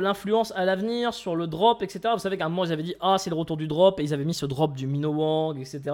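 Against a quiet background, a man speaks very fast with ordinary pitch variation. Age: 20s. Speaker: gaming YouTuber and streamer; gaming YouTuber, streamer. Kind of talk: casual gameplay commentary. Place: home room.

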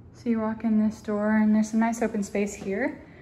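A woman speaks with a dark, mellow tone at a fairly high pitch.

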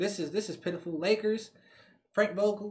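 Loud and animated, a man talks at a fairly quick pace with a high pitch. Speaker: sports reaction YouTuber. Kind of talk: casual reaction video, reacting to game highlights. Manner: animated, excitable, loud, slangy; frustrated, exasperated. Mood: frustrated, ranting.

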